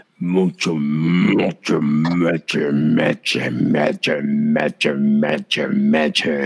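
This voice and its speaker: A man growls in a put-on character voice at a very slow pace. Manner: ominous, drawn out.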